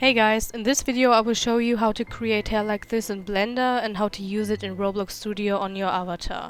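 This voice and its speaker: A woman's fairly high voice at a moderate pace, with music in the background. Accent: German. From Germany. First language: German. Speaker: 3D modeling tutorial creator. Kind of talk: software tutorial narration.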